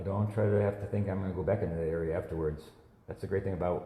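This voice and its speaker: Amid audible room echo, a man speaks with a very deep, low pitch, a somewhat breathy quality and fairly even intonation. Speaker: watercolor artist. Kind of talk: live painting demonstration. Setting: Facebook live stream. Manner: casual, conversational.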